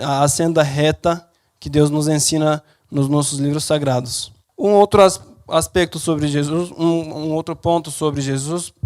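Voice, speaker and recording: This man speaks fairly slowly with a non-native accent, his fairly high voice keeping a fairly even intonation. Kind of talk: talk to an audience. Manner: halting.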